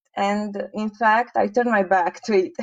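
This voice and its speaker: With a Romanian accent, a woman speaks fairly slowly at a fairly high pitch, using ordinary pitch variation. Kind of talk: interview testimony.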